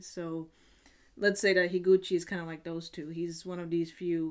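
A woman speaks at a fairly low pitch over a quiet background. Her intonation is monotone and flat. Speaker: video blogger. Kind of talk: casual vlog chat. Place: home room.

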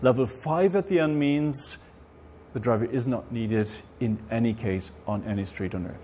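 A man's dark, mellow tone at a moderate pace over light background noise. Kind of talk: interview answer. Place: garage. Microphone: lapel.

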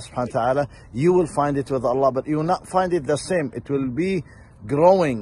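Somewhat breathy and dry with no echo, a man's voice moves at a moderate pace with ordinary pitch variation. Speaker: religious preacher. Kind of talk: short sermon. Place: street. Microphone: phone near.

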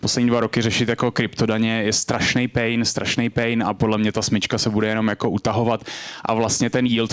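Against a quiet background, a man talks at a moderate pace with monotone, flat intonation. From Czech Republic. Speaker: crypto startup co-founder; conference speaker. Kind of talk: lecture. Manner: casual, filler-heavy. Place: hall. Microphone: handheld.

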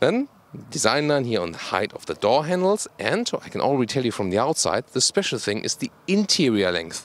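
A man with vocal fry talks at a fairly quick pace, his pitch swinging very widely, in a dry sound with no echo. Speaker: car reviewer. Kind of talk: review presentation. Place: open country. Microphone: handheld.

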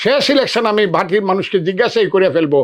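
A man is speaking. His intonation is lively. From Bangladesh, Kishoreganj. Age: 70s. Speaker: politician. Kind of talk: press statement. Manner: emphatic.

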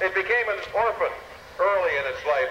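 Light background noise and audible room echo surround the recording. A man speaks at a moderate pace. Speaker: air show announcer. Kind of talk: commentary. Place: open country.

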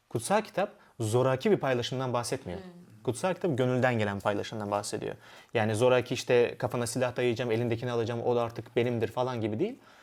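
The man's voice sits at a medium pitch. He talks at a very fast pace. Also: ordinary pitch variation. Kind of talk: panel discussion.

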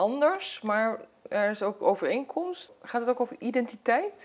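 A woman's fairly high voice with lively intonation, at a very slow pace. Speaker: TV interviewer. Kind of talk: interview question. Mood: warm, reflective, curious. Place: home room. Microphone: lapel.

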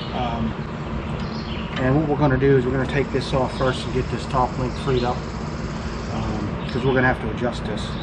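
Loud background noise sits behind the voice. A man speaks at a moderate pace. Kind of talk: tutorial. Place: garage.

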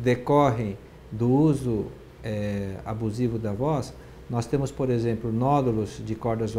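Over light background noise, a man speaks at a fairly slow pace in a somewhat breathy, dark, mellow tone with ordinary pitch variation. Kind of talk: interview answer. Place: office.

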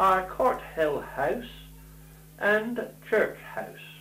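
Speaking very slowly in a voice high for a man, he is heard with audible room echo and faint music in the background. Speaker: documentary narrator. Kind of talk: documentary narration. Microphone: old recording.

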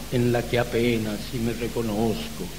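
A man talks at a very slow pace against noticeable background noise. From Salta, Argentina. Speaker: poet. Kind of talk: poetry reading.

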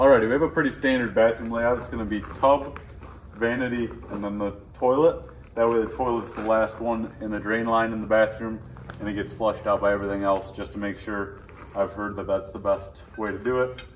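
A man speaks at a fairly quick pace with fairly even intonation. Light background noise sits behind him. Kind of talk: tutorial. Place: open country. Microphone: camera far.

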